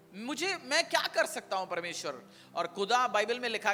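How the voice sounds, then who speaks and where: Extremely high in pitch, a man's raised, projected voice carries a non-native accent. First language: not Hindi (speaking Hindi). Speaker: pastor. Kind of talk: sermon.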